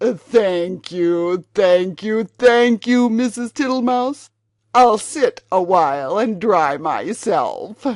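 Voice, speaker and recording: A put-on character voice, female-sounding, fairly high in pitch, at a very slow pace. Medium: read story. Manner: smiling, repetitive, unhurried.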